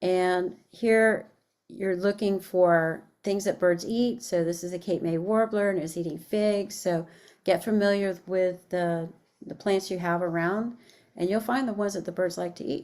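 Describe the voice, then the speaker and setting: The woman has an unremarkable speaking voice at medium pitch. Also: fairly even intonation, fairly slow pace. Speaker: education coordinator. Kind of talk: webinar presentation. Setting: online webinar.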